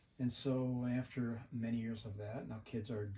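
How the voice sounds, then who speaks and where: A man with an American accent, somewhat breathy, dark and mellow in tone, at a moderate pace. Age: 70s. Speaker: Vietnam veteran and retired home builder. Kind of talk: casual interview.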